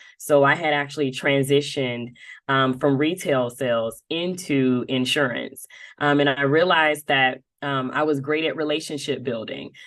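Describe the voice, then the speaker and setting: Against a quiet background, a woman with a Southern US accent talks at a moderate pace in a very deep, low pitch. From US South, Dothan, Alabama. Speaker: insurance marketing executive. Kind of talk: podcast interview. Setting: podcast interview. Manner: animated, many fillers.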